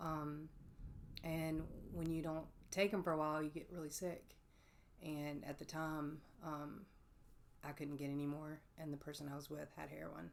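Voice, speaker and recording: A woman with a Mississippi accent speaks in a very deep, low pitch and a monotone, flat intonation at a moderate pace, broken by long, frequent pauses. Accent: Southern US (Mississippi). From US South, Oxford, Mississippi. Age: 40s. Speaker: person in addiction recovery. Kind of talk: interview testimony. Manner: hesitant, many fillers.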